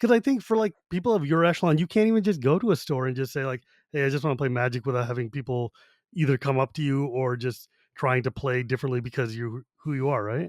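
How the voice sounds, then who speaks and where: On a very clean recording with a silent background and a dry, close sound with no echo, a man of medium pitch talks at a very fast pace with lively intonation. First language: Gujarati. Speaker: podcast host. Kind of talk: casual chat.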